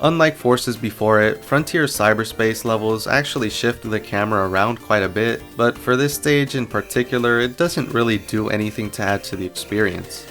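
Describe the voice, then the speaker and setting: Background music accompanies the voice. The talking proceeds at a moderate tempo. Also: man, medium pitch for a man, ordinary pitch variation. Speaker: video game analysis creator. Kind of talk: video essay voice-over.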